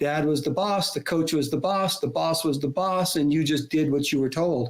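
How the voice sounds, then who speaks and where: An unremarkable speaking voice belongs to this man, who talks fairly quickly and keeps his intonation fairly even. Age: 60s. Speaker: leadership author and professor. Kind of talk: podcast interview.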